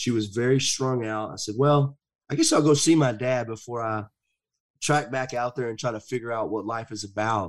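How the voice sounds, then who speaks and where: The man keeps to a moderate pace, and his pitch varies in an ordinary way. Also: medium pitch for a man, very clean recording, silent background. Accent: Southern US. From US South, rural. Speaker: motivational speaker and men's counselor. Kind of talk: personal testimony in interview.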